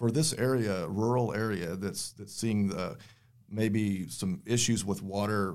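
Speaking in a West Texas accent, a man has a fairly low pitch and ordinary pitch variation. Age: 50s. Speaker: energy company spokesman. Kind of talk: podcast interview. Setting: studio.

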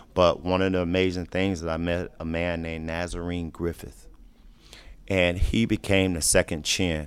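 At a fairly slow pace, a man speaks in a very deep, low pitch with fairly even intonation. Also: very clean recording, silent background. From Florida, US. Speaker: social work grad student and advocate. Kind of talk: interview, personal testimony.

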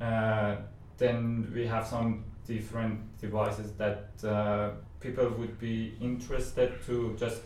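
A man speaks in a fairly low pitch with monotone, flat intonation. Noticeable background noise and audible room echo fill the recording. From Iran. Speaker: technical evangelist. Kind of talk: podcast interview.

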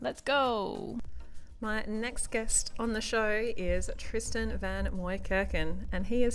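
This woman speaks with an Australian accent. Noticeable background noise runs behind her. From Australia, Perth. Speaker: naturopath podcast host. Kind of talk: scripted narration.

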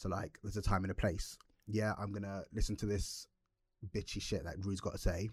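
This man's voice is somewhat breathy and fairly low in pitch, and he speaks at a fairly quick pace. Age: 20s. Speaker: podcast co-host. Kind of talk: casual chat. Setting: studio. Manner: animated.

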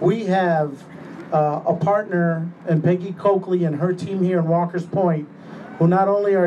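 Amid noticeable background noise, a man talks at a high pitch with monotone, flat intonation. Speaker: alderman. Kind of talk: speech at public event. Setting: stage with audience.

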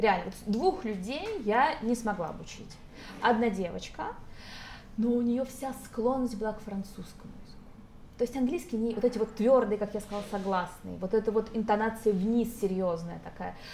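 Moderate pacing with long, frequent pauses, ordinary pitch variation, big swings in loudness, and noticeable background noise. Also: woman, fairly high pitch for a woman. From Moscow, Russia. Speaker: English teacher. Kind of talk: casual chat. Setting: restaurant.

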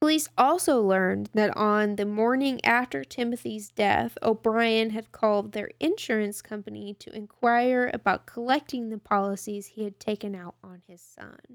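In a Texan accent, a woman with a fairly high voice speaks at a moderate pace with hardly any pauses and ordinary pitch variation, recorded dry and close with no echo on a very clean track with a silent background. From Texas, Tyler. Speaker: true crime podcast co-host. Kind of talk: casual storytelling chat. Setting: studio, in person.

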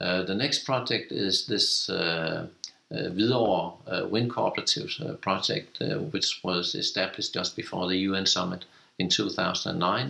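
A man with a Danish accent, fairly low pitch and lively intonation. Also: moderate pace. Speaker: cooperative chair. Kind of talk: interview. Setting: office.

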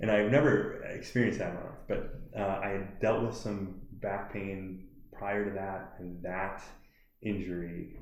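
A fairly low-pitched man with an American accent, fairly slow, with audible room echo. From US Midwest, Milwaukee area. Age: 30s. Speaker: CBD shop owner. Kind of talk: podcast interview.

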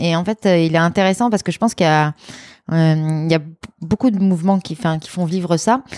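Her normal speaking voice sits at a fairly low pitch for a woman, with ordinary pitch variation and a fairly quick pace, recorded dry and close with no echo. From France, Lyon. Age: 30s. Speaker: former student activist. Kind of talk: interview. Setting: at her home.

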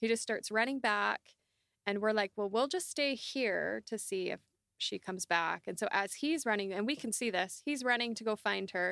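A woman with a Canadian accent and a fairly high pitch speaks at a moderate pace with lively intonation. Her tone is bright and sharp, and the sound is dry and close with no echo. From Canada, Southern Alberta. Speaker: transformation coach. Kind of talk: interview conversation.

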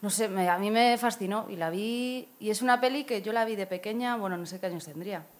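This woman's fairly high voice moves at a fairly quick clip with ordinary pitch variation and hardly any pauses. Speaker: actress. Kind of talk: casual chat.

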